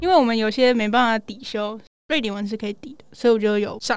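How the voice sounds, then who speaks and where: With a normal speaking voice, a woman speaks at a fairly high pitch with ordinary pitch variation. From United States. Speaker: university student, former exchange student. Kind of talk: casual interview chat. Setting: small recording studio.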